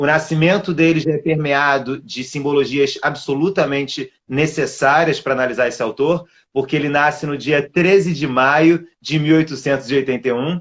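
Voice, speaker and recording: A man's fairly high voice in a Rio de Janeiro accent. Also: moderate pace. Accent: carioca (Rio de Janeiro). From Brazil, Rio de Janeiro. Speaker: literature scholar, doctoral researcher. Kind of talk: online lecture-style interview.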